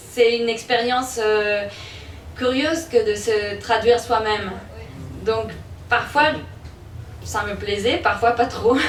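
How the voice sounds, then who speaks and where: A woman with a Spanish accent speaks very slowly at fairly high pitch, with long, frequent pauses and fairly even intonation. There is noticeable background noise and audible room echo. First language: Spanish (speaking French). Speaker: author. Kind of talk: book presentation Q&A.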